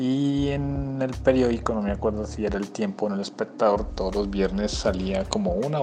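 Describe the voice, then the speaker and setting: Noticeable background noise runs under the recording. A man speaks with a fairly low pitch. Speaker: listener contributor. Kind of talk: recorded listener testimony.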